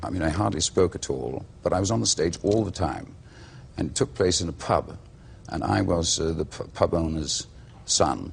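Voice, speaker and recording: With a Welsh accent and lively intonation, a man speaks at a moderate pace in a very deep, low voice with vocal fry. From Wales. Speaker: actor. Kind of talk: interview answer.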